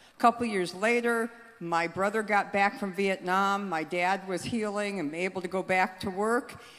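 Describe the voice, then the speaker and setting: Speaking with an American accent, a woman talks at medium pitch and a moderate pace with ordinary pitch variation. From Southern California. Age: 60s. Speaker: politician. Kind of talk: speech. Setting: conference hall with audience.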